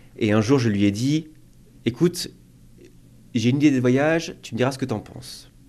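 A man's intonation is lively while he keeps to a moderate pace. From rural France. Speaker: aviation worker. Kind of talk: interview. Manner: hesitant, with fillers.

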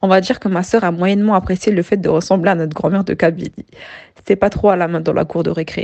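Speaking at a very fast pace, a woman has a medium-pitched, dark, mellow voice. Her intonation stays fairly even. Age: 20s. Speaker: finance worker with side business. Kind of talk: scripted testimony.

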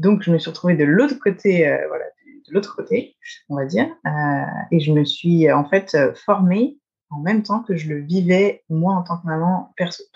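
A woman with a fairly low pitch speaks at a fairly slow pace, her somewhat breathy voice carrying lively intonation and big swings in loudness. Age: 30s. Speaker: osteopath. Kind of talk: casual interview.

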